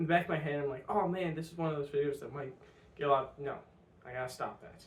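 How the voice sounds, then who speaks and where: Audible room echo surrounds a man with a fairly high pitch. He talks at a very fast pace with fairly even intonation. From US Midwest. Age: 20s. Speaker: vlogger. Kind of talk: personal vlog monologue. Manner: halting, many fillers.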